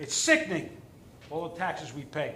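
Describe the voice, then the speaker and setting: A man speaks in a raised, projected voice at a moderate pace, with very wide pitch swings. Audible room echo and noticeable background noise surround him. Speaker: resident speaking at public comment. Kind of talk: public comment at town board meeting. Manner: animated, emphatic.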